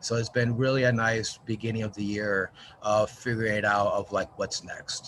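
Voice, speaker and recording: A man speaks at a medium pitch in an American accent, his intonation flat and monotone. Noticeable background noise runs behind him. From New Mexico, US. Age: middle-aged. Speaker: arts organization marketing director. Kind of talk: video call check-in introduction.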